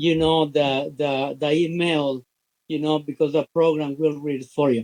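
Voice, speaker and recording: Speaking with a Spanish accent, a man uses a fairly high pitch and a monotone, flat intonation at a moderate pace. The sound is dry and close, with no echo. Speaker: business opportunity promoter. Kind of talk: interview. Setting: live stream. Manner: halting, many fillers.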